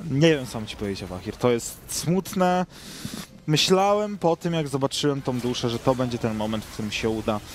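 Over noticeable background noise, a man at a medium pitch talks at a fairly quick pace with very wide pitch swings. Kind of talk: esports match commentary, co-caster analysis.

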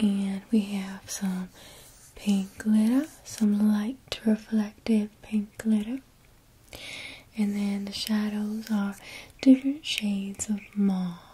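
A soft-spoken woman talks very slowly in a somewhat breathy voice, with long and frequent pauses. Her intonation stays fairly even. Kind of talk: soft roleplay talk to viewer. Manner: soft, breathy ASMR murmur. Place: home room.

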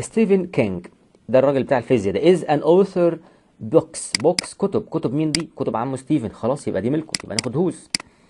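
This man's fairly high voice has a dark, mellow tone and vocal fry, swings very widely in pitch, and moves at a fairly quick pace. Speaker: English teacher. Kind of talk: lecture. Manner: animated.

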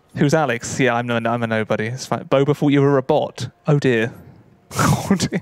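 With a southern English accent, a man speaks at a fairly quick pace in a medium pitch. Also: ordinary pitch variation, dry sound with no echo. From southeast England. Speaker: gaming streamer; streamer playing a board game. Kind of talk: casual chat. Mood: relaxed, joking. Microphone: studio mic.

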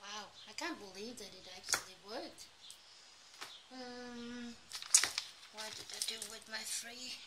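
Long, frequent pauses and a fairly slow pace under loud background noise. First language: Danish. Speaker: craft YouTuber. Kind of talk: casual craft tutorial vlog. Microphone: phone near.

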